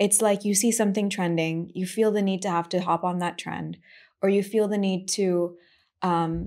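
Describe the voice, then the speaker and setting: A woman with an American accent speaks at a fairly slow pace, with medium pitch, a dark, mellow tone and fairly even intonation. The recording is very clean, with a silent background. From USA, Indian family. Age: 20s. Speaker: musician and former influencer. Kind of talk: casual chat.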